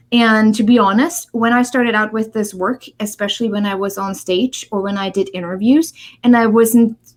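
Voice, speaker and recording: The speaker has a German accent and a moderate pace. There are hardly any pauses, and the pitch variation is ordinary. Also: woman, fairly high pitch for a woman. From East Germany. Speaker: author and speaker on human connection. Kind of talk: interview.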